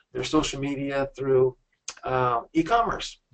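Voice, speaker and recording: It is a man talking at a fairly high pitch. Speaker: company president hosting a business webinar. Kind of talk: sales pitch. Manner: fast.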